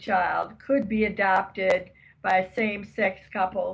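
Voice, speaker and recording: A woman speaks at a fairly slow pace with vocal fry. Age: 80s+. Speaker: grandmother. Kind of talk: interview answer.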